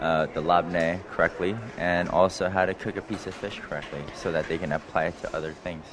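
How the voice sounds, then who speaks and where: A man with an American accent talks at a fairly quick pace in a very deep, low pitch. His intonation is monotone and flat, with noticeable background noise behind him. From US, Los Angeles. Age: 30s. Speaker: executive chef. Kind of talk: cooking demonstration interview. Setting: live broadcast from a cooking school.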